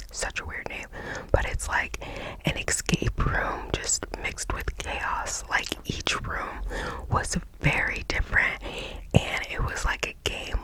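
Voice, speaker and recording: Noticeable background noise surrounds the recording. A woman whispers at a very slow pace. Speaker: ASMR creator. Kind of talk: ASMR whispering, casual rambling about everyday life. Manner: whispered, soft, chatty.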